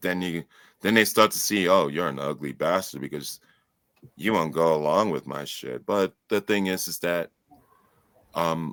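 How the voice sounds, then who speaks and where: In an American accent, a man with a very deep, low pitch speaks at a moderate pace with ordinary pitch variation and long, frequent pauses, the sound dry and close with no echo. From New York City. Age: 40s. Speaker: author. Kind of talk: interview.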